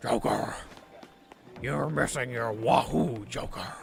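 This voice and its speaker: A man puts on a raspy character voice at a medium pitch. He speaks fairly slowly with music in the background. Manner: very serious.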